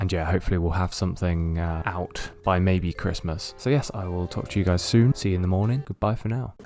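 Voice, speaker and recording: A man with a British accent speaks quietly in a very deep, low pitch at a fairly quick pace with hardly any pauses. Music plays in the background. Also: ordinary pitch variation. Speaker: vlogger, student musician. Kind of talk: casual vlog talk to camera.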